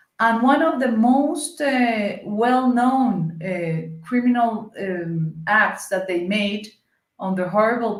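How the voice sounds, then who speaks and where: In a Colombian accent, a woman speaks at a very slow pace with ordinary pitch variation. Her voice is somewhat breathy. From Colombia, Cali. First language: Spanish. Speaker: senator. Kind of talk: interview conversation. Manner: halting, searching for English words.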